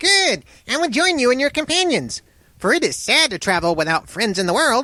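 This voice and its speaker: A man's put-on character voice, extremely high in pitch with very wide pitch swings, at a fairly quick pace. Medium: read story.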